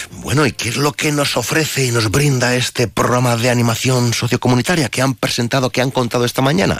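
Amid noticeable background noise, a man at medium pitch talks at a fairly quick pace with very even loudness. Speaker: radio host. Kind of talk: radio interview. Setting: studio. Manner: animated.

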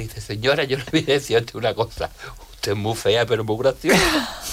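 With noticeable background noise behind him, a man speaks at a fairly quick pace in a medium pitch, with ordinary pitch variation. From Jerez de la Frontera, Andalusia. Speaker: comedian. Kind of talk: casual chat. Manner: animated.

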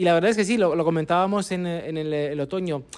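A man with a high pitch speaks fairly quickly, his intonation fairly even. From Naples, Italy. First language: Italian (speaking Spanish). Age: 30s. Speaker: football journalist. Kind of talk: casual chat.

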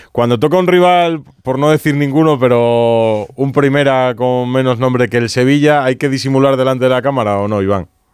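At a moderate pace and with hardly any pauses, a man talks in a normal speaking voice at medium pitch with ordinary pitch variation. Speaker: sports radio host. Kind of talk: radio show presenting. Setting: studio.

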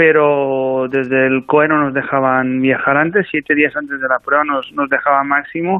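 At a moderate pace, a man talks with a fairly high pitch. His intonation stays monotone and flat. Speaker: national cycling team coach. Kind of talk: radio interview.

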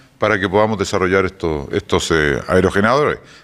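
A man speaks at a moderate pace. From Chile. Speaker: energy company executive. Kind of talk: radio interview.

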